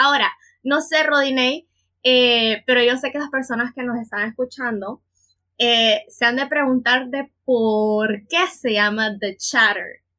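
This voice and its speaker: In a bright, sharp tone, a woman talks very slowly at a high pitch with ordinary pitch variation. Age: 20s. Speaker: podcast co-host, psychologist and teacher. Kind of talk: casual chat.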